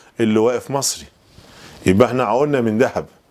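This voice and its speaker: A man speaks with an Egyptian accent at a fairly quick pace. The background is quiet. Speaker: English teacher. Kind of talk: lecture. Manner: animated. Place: classroom. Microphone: lapel.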